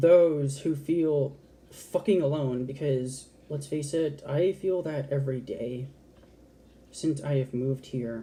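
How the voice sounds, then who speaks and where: A woman speaks at a very slow pace, with long, frequent pauses and a somewhat breathy quality. Her pitch is very deep and low, her tone dark and mellow, and her intonation fairly even. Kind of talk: casual talk to camera. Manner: passionate, candid, expressive.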